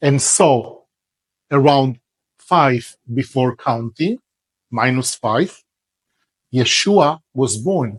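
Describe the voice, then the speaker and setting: A man's fairly high voice with lively intonation, a very slow pace, and a dry, close sound with no echo. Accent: Israeli. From Israel. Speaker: religious teacher. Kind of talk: religious lecture.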